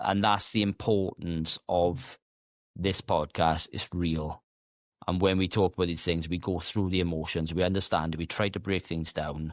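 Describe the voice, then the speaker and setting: A man mumbles at a moderate pace with a very deep, low pitch and fairly even intonation, in a dry, close sound with no echo. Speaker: podcast host. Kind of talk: casual interview conversation. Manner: stutters sometimes; unscripted, occasionally mumbling.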